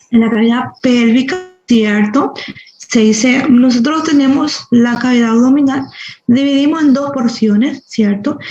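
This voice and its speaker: A woman speaks slowly in a high pitch, with ordinary pitch variation and very even loudness. Audible room echo surrounds her voice. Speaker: medical professor. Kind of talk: lecture.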